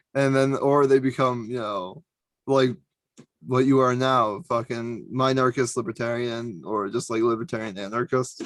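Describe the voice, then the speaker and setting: In an ordinary speaking voice, the speaker keeps a moderate pace and fairly even intonation. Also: man, medium pitch for a man. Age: 20s. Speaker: podcast host. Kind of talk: casual chat.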